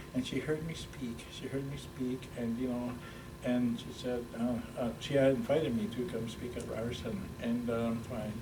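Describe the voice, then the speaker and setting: A man with fairly even intonation, amid noticeable background noise and audible room echo. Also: medium pitch for a man, moderate pace. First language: Ojibwe. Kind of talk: interview. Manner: halting, many fillers and repetitions.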